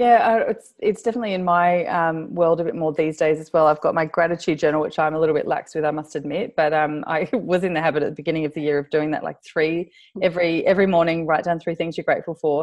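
At a very fast pace with hardly any pauses, a woman with an Australian accent speaks at a fairly low pitch. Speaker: podcast host. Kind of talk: casual interview chat. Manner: animated, laughs often.

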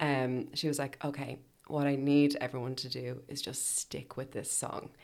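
A woman with an Irish accent speaks at a moderate pace in a very deep, low pitch with vocal fry. The recording is very clean, with a silent background. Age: 30s. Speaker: podcast host. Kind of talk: casual chat.

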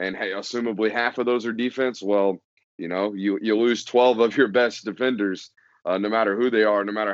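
A man with a normal speaking voice, fairly low in pitch, ordinary pitch variation and a fairly quick pace. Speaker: football podcast guest writer. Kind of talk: casual sports podcast discussion. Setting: podcast recording.

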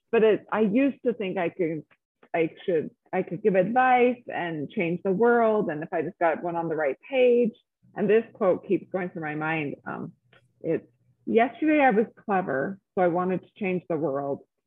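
Here is a woman with an American accent and a normal speaking voice. Her pitch is medium and her intonation lively. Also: moderate pace. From Utah, Salt Lake City. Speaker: podcast guest. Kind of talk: interview testimony.

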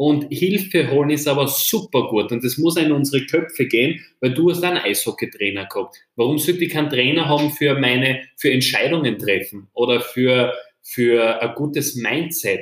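At a moderate pace and with hardly any pauses, the speaker uses a plain, everyday voice with ordinary pitch variation. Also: man, fairly high pitch for a man. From Austria, Styria. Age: 20s. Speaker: entrepreneur. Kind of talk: interview.

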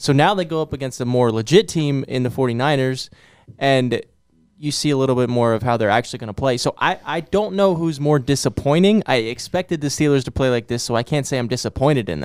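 Spoken at a fairly quick pace, a normal speaking voice with ordinary pitch variation comes through a very clean recording with a silent background. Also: man, medium pitch for a man. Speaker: sports podcast co-host. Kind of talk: casual sports chat.

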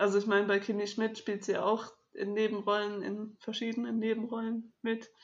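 The delivery comes at a moderate pace in a flat monotone. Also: woman, fairly high pitch for a woman. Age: 20s. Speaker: podcast co-host. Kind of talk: casual chat.

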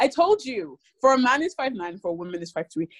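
A woman speaks in an Irish accent with a high pitch and very wide pitch swings. The sound is dry and close, with no echo. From Ireland. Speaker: podcast co-host. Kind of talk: casual chat.

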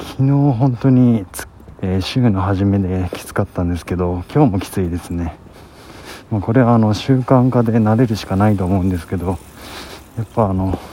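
A man speaks softly, leaving long, frequent pauses. Noticeable background noise runs under his voice. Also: fairly low pitch for a man, ordinary pitch variation, moderate pace. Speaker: vlogger. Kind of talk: casual monologue. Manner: soft-spoken.

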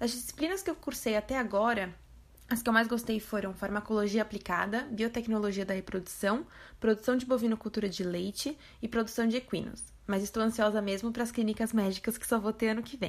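A woman speaks at a fairly quick pace with a fairly high, somewhat breathy voice. Her intonation stays fairly even. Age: 20s. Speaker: veterinary student. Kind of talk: testimony.

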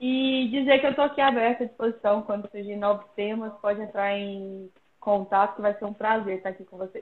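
A woman has a normal speaking voice at a medium pitch, with fairly even intonation. Her loudness swings widely. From Brazil, Pirenópolis, Goiás. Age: 30s. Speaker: professional mountain bike athlete. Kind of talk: casual interview. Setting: Instagram live video call.

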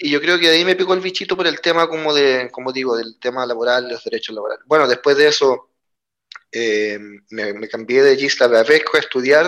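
A man speaks at a moderate pace in an ordinary speaking voice. His pitch sits in the medium range. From Chile. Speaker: trade unionist. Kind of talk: interview conversation.

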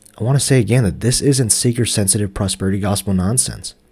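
A man with an American accent speaks at a fairly low pitch and a very fast pace. His voice is somewhat breathy, with ordinary pitch variation. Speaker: podcast host. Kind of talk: personal reflection monologue, podcast. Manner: halting, disfluent.

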